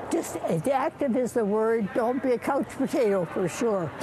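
Amid noticeable background noise, a woman with a fairly high pitch and lively intonation speaks at a fairly slow pace. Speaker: curler. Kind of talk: interview answer. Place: stadium. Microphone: phone near.

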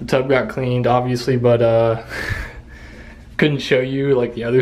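A man's monotone, flat delivery at a moderate pace. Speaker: home vlogger. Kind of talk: casual vlog chat. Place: bathroom. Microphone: phone near.

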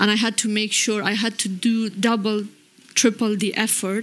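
Somewhat breathy, a woman with a fairly high pitch speaks at a moderate pace in a monotone, flat intonation. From Afghanistan. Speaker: professor and former Afghan politician; professor, former Afghan politician. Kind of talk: panel discussion. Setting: stage with audience. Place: stage. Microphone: handheld.

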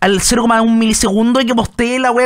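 Against a quiet background, a man with a Chilean accent speaks at a high pitch. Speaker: streamer. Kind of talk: reaction stream commentary. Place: home room.

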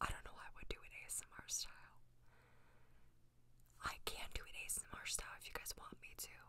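A soft-spoken, whispering woman at a very fast pace, playful in tone, with big swings in loudness. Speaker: ASMR content creator. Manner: soft whisper, playful and close. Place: home room. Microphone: studio mic.

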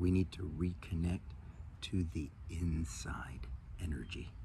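Recorded with a dry sound and no echo over light background noise, a man speaks at a very slow pace in a very deep, low pitch. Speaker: meditation or wellness teacher. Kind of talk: spiritual talk to camera. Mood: warm, enthusiastic, calm. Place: garden. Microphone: phone near.

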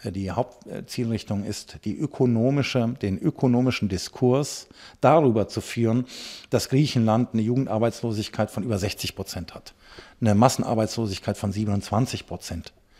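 A man with a dark, mellow tone and medium pitch speaks at a moderate pace with ordinary pitch variation over a quiet background. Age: 40s. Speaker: farmer and party politician; party politician. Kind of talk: political interview. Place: office. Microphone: handheld.

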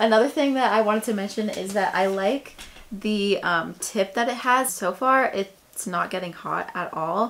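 Ordinary pitch variation and a moderate pace from a woman. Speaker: beauty vlogger. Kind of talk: product review tutorial. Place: home room.

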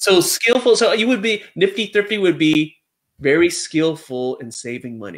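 A man talks at a moderate pace in a fairly high pitch, and his pitch varies in an ordinary way.

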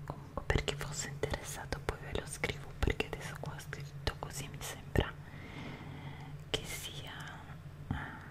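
A woman's whisper at a fairly slow pace, with big swings in loudness and long, frequent pauses. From Italy. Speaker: ASMR creator. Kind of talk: ASMR show and tell. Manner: whispered, soft-spoken. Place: home room. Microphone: studio mic.

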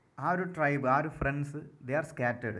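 A fairly high-pitched man's voice with ordinary pitch variation and audible room echo. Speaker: English literature tutor. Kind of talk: lecture.

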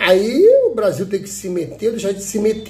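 A man's animated tone comes through at a moderate pace. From Brazil. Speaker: YouTube commentator. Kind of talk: political commentary monologue. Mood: indignant, critical. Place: home room. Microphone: phone near.

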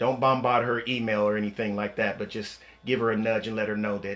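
A man talks at a fairly quick pace with a monotone, flat intonation. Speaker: speaker. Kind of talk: live stream talk. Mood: grateful, warm. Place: home room. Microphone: phone near.

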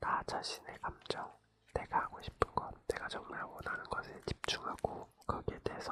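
Whispered words at a moderate pace amid noticeable background noise. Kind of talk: radio host giving sympathetic advice. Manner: whispered, soft-spoken.

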